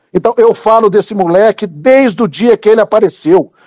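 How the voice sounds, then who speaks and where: A man with a high pitch speaks in an animated tone at a moderate pace. His pitch varies in an ordinary way, and the sound is dry and close with no echo. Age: 50s. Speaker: political commentator, university professor. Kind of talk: heated rant in group audio chat. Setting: online audio room.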